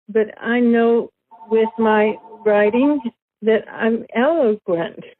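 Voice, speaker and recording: A woman speaks at a very slow pace with fairly even intonation. Music plays behind her. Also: fairly high pitch for a woman. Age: 70s. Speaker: stroke survivor with aphasia. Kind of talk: interview. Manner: halting, repetitive.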